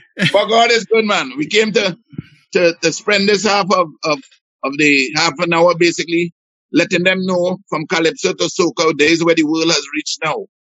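A man talks with a Barbadian accent at a moderate pace. His pitch is high. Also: ordinary pitch variation. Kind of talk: casual chat. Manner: animated.

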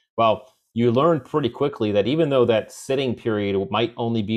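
A man's voice at a medium pitch. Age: 40s. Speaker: retired special forces officer and author. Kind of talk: interview conversation. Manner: halting, many fillers and restarts.

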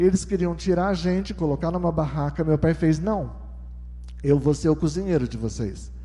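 A man at a moderate pace. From southeastern Brazil (São Paulo coast, Minas Gerais). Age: 60s. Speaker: testimony speaker at church. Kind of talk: testimony. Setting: church with congregation.

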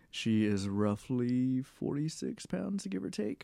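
The voice has a dark, mellow tone. It carries an American accent. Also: man. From South Texas. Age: 30s. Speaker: blind podcast guest. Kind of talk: casual chat.

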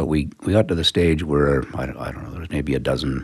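With a Western Canadian accent, a man speaks at a very deep, low pitch and a fairly quick pace. His intonation is fairly even over noticeable background noise. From Calgary, Canada. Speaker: accountant. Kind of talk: interview. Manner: halting.

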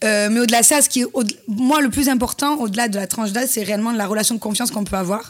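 Speech comes at a very fast pace with ordinary pitch variation and a slight southern French accent. Background noise is noticeable. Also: woman, fairly high pitch for a woman. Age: 30s. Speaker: influencer and former reality TV contestant. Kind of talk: interview.

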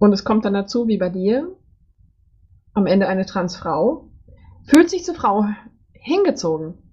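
Somewhat breathy and medium in pitch, a woman speaks at a fairly slow pace with long, frequent pauses and very wide pitch swings. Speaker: podcast host. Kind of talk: interview.

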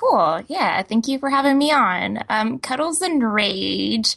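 A woman with an American accent and an ordinary speaking voice, ordinary pitch variation, and a quiet background. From Texas. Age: 30s. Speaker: comic artist. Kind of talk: interview.

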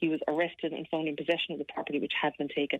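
A woman is speaking here. She has an Irish accent. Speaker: police sergeant. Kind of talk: radio interview.

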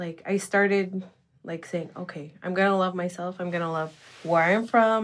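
A woman at a fairly slow pace. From Nunavik, Canada. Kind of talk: casual chat.

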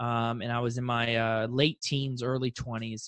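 Against a quiet background, a man talks with a bright, sharp tone in an American accent. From South Florida, Fort Lauderdale. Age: young. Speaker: real estate investor. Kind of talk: interview.

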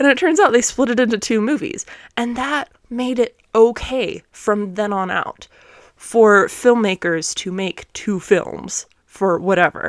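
The voice is animated and speaks at a fairly slow pace with lively intonation, in a very clean recording with a silent background and a dry, close sound with no echo. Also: woman, fairly high pitch for a woman. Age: 20s. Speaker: podcast co-host. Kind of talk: casual chat.

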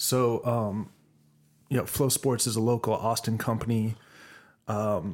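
In a very clean recording with a silent background, a man with an unremarkable speaking voice and fairly low pitch talks at a fairly slow pace with fairly even intonation. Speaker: podcast host. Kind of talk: casual interview.

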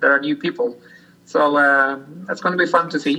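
With a Norwegian accent, a man speaks in a bright, sharp tone and ordinary pitch variation. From Norway. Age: 40s. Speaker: sled dog musher. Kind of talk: interview. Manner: halting.

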